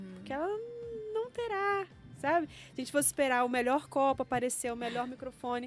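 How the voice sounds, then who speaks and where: Her pitch high and intonation lively, a woman talks at a fairly quick pace with long, frequent pauses. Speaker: science educator and entrepreneur. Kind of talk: podcast interview.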